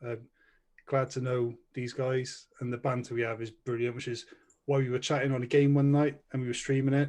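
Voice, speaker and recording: In a Welsh accent, a man talks at a medium pitch with monotone, flat intonation. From Wales. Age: 30s. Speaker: podcast co-host. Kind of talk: casual chat.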